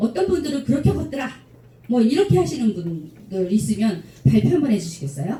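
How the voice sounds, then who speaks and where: A woman with vocal fry talks fairly quickly at a medium pitch, her voice swinging very widely, with audible room echo. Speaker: lecturer at club officers' training. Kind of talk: lecture Q&A with audience.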